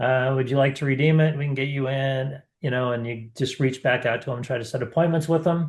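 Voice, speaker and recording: Speaking at a fairly quick pace with hardly any pauses, a man with a medium-pitched, somewhat breathy voice keeps a fairly even intonation against a quiet background. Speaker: marketing webinar host. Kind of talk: webinar presentation.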